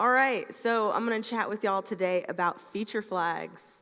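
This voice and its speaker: A woman speaks with a Southern US accent at a moderate pace. Her pitch varies in an ordinary way, and the background is quiet. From US South, Atlanta, Georgia. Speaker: software engineer, conference speaker; conference speaker. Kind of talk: conference talk. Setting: stage with audience. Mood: friendly, light humour. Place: stage.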